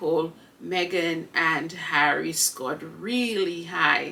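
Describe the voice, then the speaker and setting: The speech shows ordinary pitch variation, with noticeable background noise behind it. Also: woman. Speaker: podcast host. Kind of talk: casual monologue.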